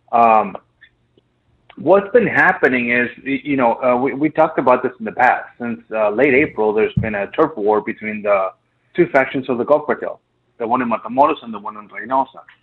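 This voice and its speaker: With an unremarkable speaking voice at a medium pitch, a man talks at a fairly quick pace, his loudness swinging widely and his pitch varying in an ordinary way. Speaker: border news reporter. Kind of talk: news report interview.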